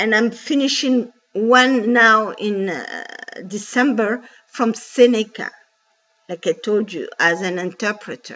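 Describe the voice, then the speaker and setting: Speaking very slowly with a non-native accent, a woman uses a fairly high pitch with ordinary variation and big swings in loudness. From Djibouti. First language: French. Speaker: bank call centre agent. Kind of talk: personal testimony. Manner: halting with fillers; impassioned.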